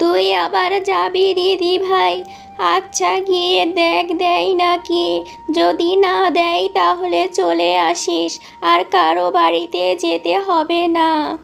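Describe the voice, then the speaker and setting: Over clear music in the background, a woman performs a cartoonish character voice at a very slow pace. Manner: meek, humble.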